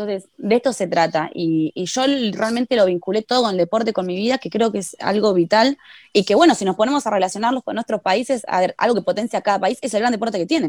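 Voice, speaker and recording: A woman at a very fast pace on a very clean, dry, close recording with a silent background and no echo. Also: fairly high pitch for a woman, ordinary pitch variation. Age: 20s. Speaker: footballer. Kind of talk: interview.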